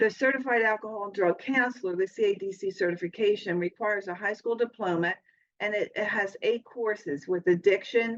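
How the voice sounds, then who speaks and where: At a fairly quick pace, a woman speaks in a plain, everyday voice with medium pitch and ordinary pitch variation. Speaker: college program administrator. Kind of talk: progress report presentation.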